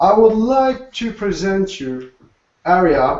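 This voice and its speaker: A man with a French accent and a high pitch speaks at a very slow pace. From Alsace, France. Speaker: food blogger and co-host. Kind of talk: presentation.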